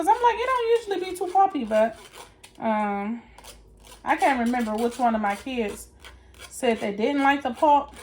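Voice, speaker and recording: Over noticeable background noise, a woman talks with lively intonation. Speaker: lifestyle vlogger. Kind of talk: casual vlog tutorial. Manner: loud; animated.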